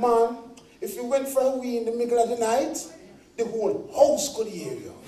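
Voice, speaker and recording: With a Jamaican accent and lively intonation, the speaker talks at a moderate pace amid noticeable background noise, loudness swinging widely. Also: man, extremely high pitch for a man. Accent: English with Jamaican patois touches. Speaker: stage performer. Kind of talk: one-man stage show monologue. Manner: humorous, storytelling, talking to audience.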